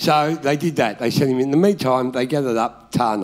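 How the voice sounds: What we hear is a natural reading voice.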